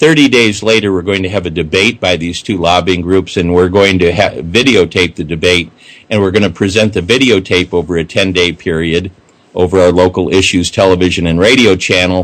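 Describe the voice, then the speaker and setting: Rather brisk speech from a man with an extremely deep, low voice. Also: ordinary pitch variation. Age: 60s. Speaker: civic activist. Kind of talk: radio interview. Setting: radio show.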